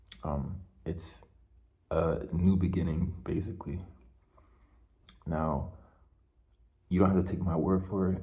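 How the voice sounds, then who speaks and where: Quiet and somewhat breathy, a man with a very deep, low pitch and a dark, mellow tone speaks with fairly even intonation amid audible room echo. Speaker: video blogger. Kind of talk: casual monologue. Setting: hallway at home at night. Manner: quiet, lowered voice; halting, many fillers.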